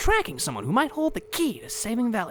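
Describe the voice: A cartoonish character voice, fairly bright in tone, fast, with very wide pitch swings. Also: man.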